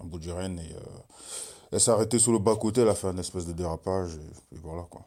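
A man with a very deep, low voice and a dark, mellow tone speaks at a fairly quick pace with fairly even intonation. The recording is very clean, with a silent background. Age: 30s. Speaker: football goalkeeper. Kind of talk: casual chat.

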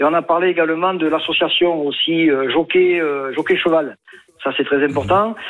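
A man speaks with a southern French accent and ordinary pitch variation. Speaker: horse racing bettor. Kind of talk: phone-in. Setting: phone call.

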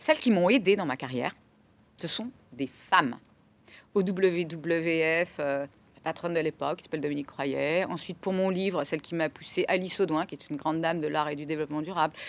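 On a very clean recording with a silent background, a woman with a normal speaking voice talks at a fairly quick pace, her pitch fairly low and its variation ordinary. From France, Burgundy. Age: 40s. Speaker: sustainability director. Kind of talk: interview.

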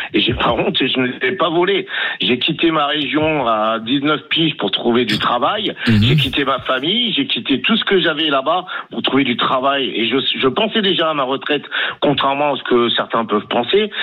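Over noticeable background noise, a man with a fairly high pitch speaks at a moderate pace, with lively intonation and very even loudness. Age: 50s. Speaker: caller, metro driver. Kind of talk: radio call-in opinion. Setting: phone call.

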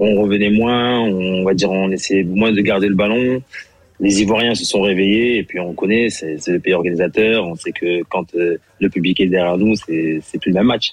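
His voice sits fairly low, and his tempo is moderate. This man keeps his intonation fairly even. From Senegal. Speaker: former international footballer. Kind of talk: radio interview.

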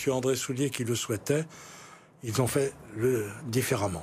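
The man's voice sits at a medium pitch. He uses lively intonation. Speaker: lawyer and former politician. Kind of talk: TV political interview. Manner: halting, repeats words.

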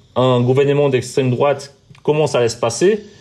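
A man with a Portuguese accent at a moderate pace, over noticeable background noise. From Brazil. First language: Portuguese (speaking French). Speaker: TV journalist. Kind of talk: interview. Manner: halting, with repetitions.

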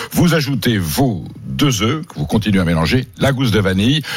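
Against noticeable background noise, a man talks at a fairly slow pace with very wide pitch swings. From southern France. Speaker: food columnist. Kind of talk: radio chat; recipe tutorial.

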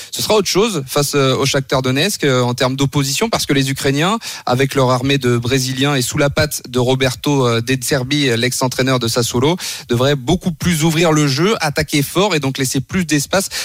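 A man's fairly high voice at a moderate pace, with ordinary pitch variation and very even loudness, over music in the background. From France, Le Mans area. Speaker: football correspondent. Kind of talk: radio report and analysis.

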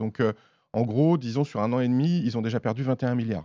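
On a very clean recording with a silent background and a dry, close sound with no echo, a man talks fairly quickly at a medium pitch, with a dark, mellow tone and ordinary pitch variation. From Auvergne, France. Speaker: journalist. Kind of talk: casual chat.

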